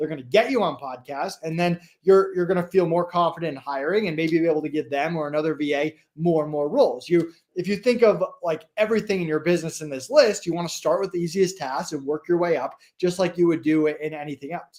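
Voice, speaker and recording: A man's high-pitched voice at a very fast pace, with ordinary pitch variation and hardly any pauses. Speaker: entrepreneur, business podcast guest. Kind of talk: live stream interview. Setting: live video stream.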